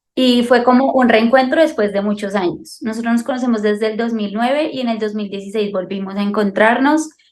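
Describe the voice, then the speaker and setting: Pitched fairly high, a woman with a normal speaking voice talks at a moderate pace with ordinary pitch variation. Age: 20s. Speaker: soldier and mother. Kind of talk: interview. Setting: video call.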